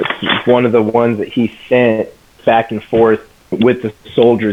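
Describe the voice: The words are read out plainly. Nothing more than straightforward reading is heard.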